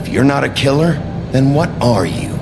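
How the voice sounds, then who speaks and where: Over loud background noise, a man uses a put-on character voice at a fairly high pitch and a moderate pace. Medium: machinima. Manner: gruff, terse.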